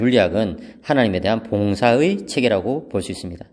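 With lively intonation, a man speaks at a medium pitch. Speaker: theology professor. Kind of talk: lecture. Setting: empty seminary hall. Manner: calm, subdued; quiet.

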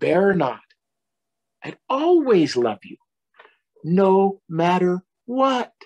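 A man does a put-on character voice, pitched high and with a slightly mellow tone. He speaks at a slow pace, and his pitch swings widely.

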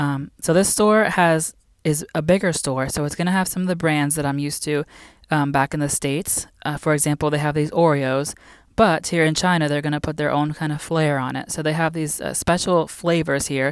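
In a dry sound with no echo and a quiet background, a woman speaks at a fairly quick pace with a very deep, low pitch and fairly even intonation. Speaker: teacher living abroad. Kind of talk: casual vlog chat. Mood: relaxed, friendly. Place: shop. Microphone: phone near.

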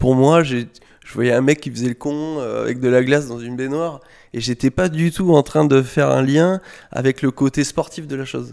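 The recording is very clean, with a silent background. A man at medium pitch talks at a moderate pace. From France, Bordeaux area (Saint-Médard). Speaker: skateboard coach and skatepark designer. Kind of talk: casual interview. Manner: hesitant, many fillers.

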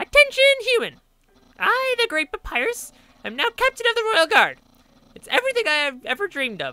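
A man's put-on character voice, extremely high in pitch, at a fairly quick pace. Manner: grandiose, excitable.

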